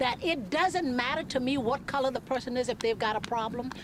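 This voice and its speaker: A woman's high-pitched voice with an American accent, lively intonation and a fairly quick pace, over noticeable background noise. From US South, Charleston area, South Carolina. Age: 60s. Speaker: civil rights activist. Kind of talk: testimony.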